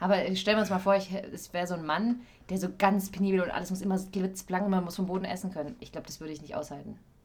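A woman talks very fast at medium pitch, her voice somewhat breathy, with fairly even intonation and big swings in loudness. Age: 20s. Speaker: actress and voice-over artist, podcast co-host. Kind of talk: casual chat.

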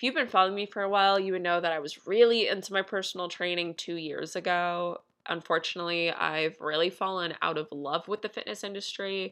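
A woman's fairly low voice at a fairly quick pace, fairly even in intonation, against a quiet background. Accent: American. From US Northeast, northern New Jersey. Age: 20s. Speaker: podcast host and life coach. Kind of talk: casual solo podcast monologue. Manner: casual, lots of fillers.

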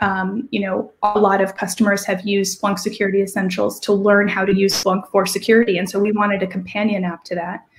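A woman speaks very fast in a medium pitch with hardly any pauses. Her intonation is monotone and flat, with noticeable background noise. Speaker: product manager. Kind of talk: casual interview.

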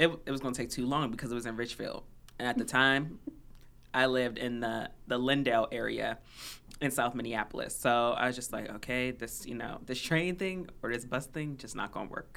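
A speaker with an American accent talks at a fairly quick pace with ordinary pitch variation. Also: woman, very deep, low pitch for a woman. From Washington, D.C. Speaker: podcast co-host. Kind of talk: casual chat.

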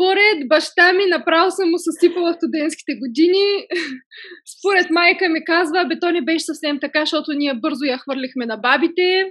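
A woman talks at a moderate pace with ordinary pitch variation. Her pitch is extremely high. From Bulgaria, Stara Zagora. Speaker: entrepreneur, cosmetics brand founder. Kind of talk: podcast interview.

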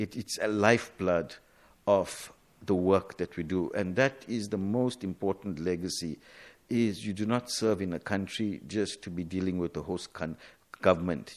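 In a very clean recording with a silent background, a man speaks at a moderate pace with a very deep, low pitch and ordinary pitch variation. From South Africa. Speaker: diplomat. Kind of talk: radio interview.

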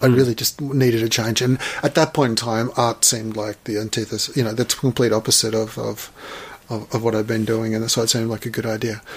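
Very fast, monotone, flat speech with an Australian accent against noticeable background noise. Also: man, medium pitch for a man. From Australia, Melbourne. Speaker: artist. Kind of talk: casual chat. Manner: halting.

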